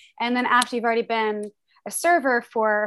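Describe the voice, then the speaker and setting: A woman with an American accent speaks at a fairly quick pace and fairly even intonation in a very clean recording with a silent background. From US Midwest. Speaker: sommelier and wine entrepreneur. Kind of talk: casual interview.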